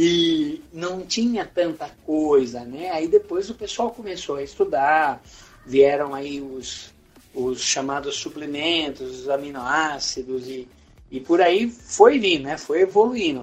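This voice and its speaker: A man's fairly high voice in a Brazilian accent, very slow, with lively intonation and big swings in loudness. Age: 50s. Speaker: pilates instructor. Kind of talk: interview. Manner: halting.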